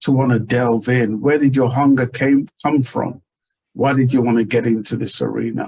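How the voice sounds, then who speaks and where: An unremarkable speaking voice from a man at a medium pitch. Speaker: podcast host. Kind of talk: interview question.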